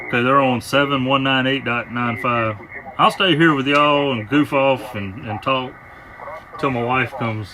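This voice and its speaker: With noticeable background noise behind him, a man with a Southern US accent talks at a moderate pace in a medium pitch and fairly even intonation. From US South. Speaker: amateur radio operator. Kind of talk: casual chat.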